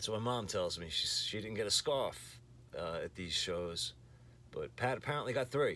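Lively intonation with vocal fry, at a moderate pace. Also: man. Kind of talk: casual vlog chat. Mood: nostalgic, lightly amused. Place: home room. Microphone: phone near.

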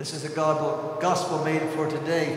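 Strong room echo and noticeable background noise surround a man whose pitch is fairly high. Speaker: priest giving homily. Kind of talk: homily urging the congregation to act. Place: church. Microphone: podium.

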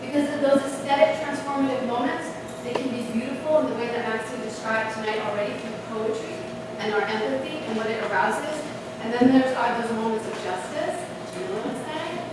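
A fairly quick American accent amid strong room echo and noticeable background noise. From New York. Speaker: conference speaker and moderator. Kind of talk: public talk. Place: hall.

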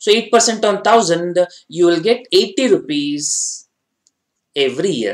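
Over a quiet background, a man with a high pitch speaks at a very slow pace with lively intonation. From India. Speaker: finance exam tutor. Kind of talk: online lecture. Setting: online class with slides. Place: studio.

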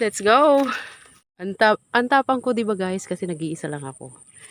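The speaker's pitch swings very widely at a moderate pace, in a very clean recording with a silent background and a dry, close sound with no echo. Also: woman. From Philippines, rural province. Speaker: vlogger. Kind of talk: vlog narration. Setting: outdoors, in flooded fields.

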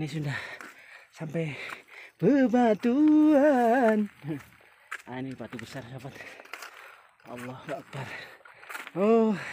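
The speaker goes at a very slow pace with long, frequent pauses, in a dry sound with no echo and light background noise. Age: old. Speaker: vlogger. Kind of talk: vlog narration while hiking. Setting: outdoors on a hill trail. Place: open country. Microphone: phone near.

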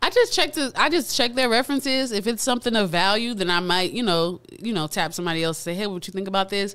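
A woman with an American accent talks very fast in a bright, sharp tone with lively intonation over a quiet background. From South Florida, Pompano Beach; Florida. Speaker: recording artist; guest. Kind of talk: casual interview chat. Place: studio. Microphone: studio mic.

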